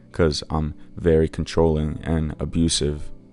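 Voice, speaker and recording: The voice stays monotone, its intonation flat. Music plays in the background. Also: man. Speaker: story narrator. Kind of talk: reddit story narration.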